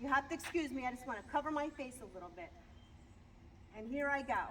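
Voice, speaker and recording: Noticeable background noise sits behind the recording. A woman speaks with lively intonation. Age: 60s. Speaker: customer giving a product review. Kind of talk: casual video testimonial. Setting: outdoors. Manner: chatty, with fillers and repeats.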